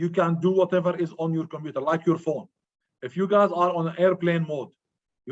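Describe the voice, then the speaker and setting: Talking at a fairly quick pace, a man with a high voice keeps his intonation fairly even. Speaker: IT instructor. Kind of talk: online lecture. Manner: fast.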